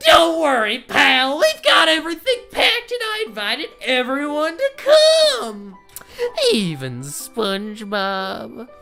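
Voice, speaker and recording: A loud, shrill, high-pitched put-on character voice that sounds female, at a fairly slow pace over clear music in the background. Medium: game stream.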